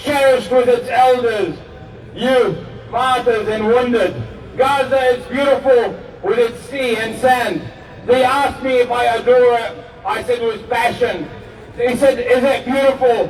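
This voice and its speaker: The fairly slow speech comes with noticeable background noise and audible room echo. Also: man, extremely high pitch for a man. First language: Arabic. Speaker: rally speaker. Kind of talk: rally speech.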